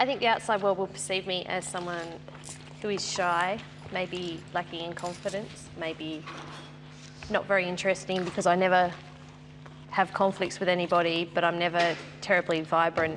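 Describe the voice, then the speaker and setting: Over noticeable background noise, the speaker talks in a flat monotone with an Australian accent and long, frequent pauses. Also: woman, fairly low pitch for a woman, moderate pace. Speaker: reality show contestant. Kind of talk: group discussion.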